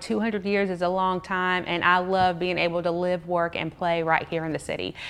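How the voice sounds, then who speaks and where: A woman with a Georgia accent at a fairly quick pace. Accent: US Southern (Georgia). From Georgia, US (Clayton and Henry County). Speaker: media and marketing business owner. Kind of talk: podcast interview.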